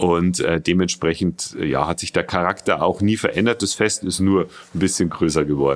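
Very clean, with a silent background, this recording features a man. He speaks with a very deep, low pitch at a moderate pace. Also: ordinary pitch variation. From Bavaria, Regensburg. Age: 40s. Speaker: company spokesperson. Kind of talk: interview. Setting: studio. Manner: hesitant, many fillers.

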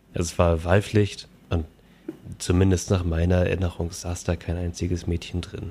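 A man speaks in a very deep, low pitch with a dark, mellow tone. His pace is moderate and his intonation monotone and flat. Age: 30s. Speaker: podcast host, software developer. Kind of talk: casual chat.

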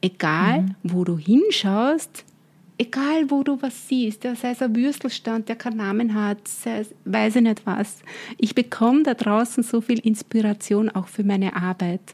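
Her voice is somewhat breathy. The woman speaks at a fairly high pitch. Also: ordinary pitch variation, fairly slow pace. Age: 50s. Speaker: brand consultant and business coach. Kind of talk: interview.

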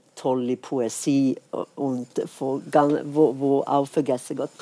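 In a very clean recording with a silent background, a woman with a Swedish accent speaks at a very slow pace in a very deep, low pitch, her tone dark and mellow and the sound dry and close with no echo. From Sweden. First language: Swedish (speaking German). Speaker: jazz singer and pianist. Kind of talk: casual chat. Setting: stage with audience.

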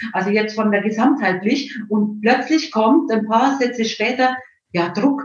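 A woman's fairly high voice at a fairly slow pace, with audible room echo. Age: 60s. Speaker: homeopath and psychologist. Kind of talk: interview. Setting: live video stream.

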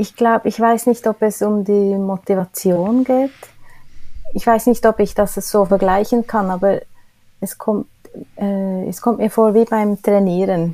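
On a very clean recording with a silent background, a woman at medium pitch speaks at a fairly slow pace with long, frequent pauses. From Switzerland. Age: 50s. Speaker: cleaning staff manager. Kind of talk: interview. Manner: hesitant, many filler sounds.

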